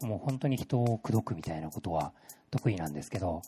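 A man speaks with a fairly low pitch, a dark, mellow tone and a somewhat breathy quality. His pitch varies in an ordinary way, and the sound is dry and close with no echo. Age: 30s. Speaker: creative agency project leader. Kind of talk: talk to a live audience. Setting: stage with audience.

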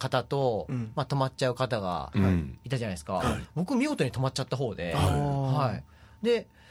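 A man talks at a moderate pace and medium pitch. His intonation is lively, with vocal fry. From Fukuoka, Tagawa. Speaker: photographer. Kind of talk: interview.

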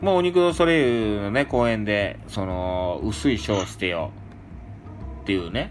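At a fairly slow pace, a man talks with audible room echo. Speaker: radio podcast host. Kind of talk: casual chat.

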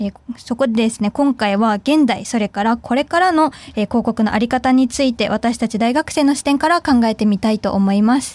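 At a fairly quick pace, a woman with an ordinary speaking voice and a fairly high pitch talks with ordinary pitch variation, recorded dry and close with no echo. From Fukuoka, Japan. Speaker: student radio host. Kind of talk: casual chat.

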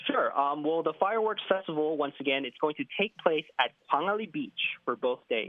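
At a moderate pace and with lively intonation, an ordinary speaking voice carries an American accent. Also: man, fairly high pitch for a man. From United States. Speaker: radio newscaster. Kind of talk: radio phone interview. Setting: phone call.

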